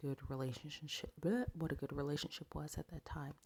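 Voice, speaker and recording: A woman speaks quietly in a very deep, low voice, with a dry, close sound and no echo. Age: 30s. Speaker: dating advice vlogger. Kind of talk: casual advice monologue. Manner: quiet, hushed.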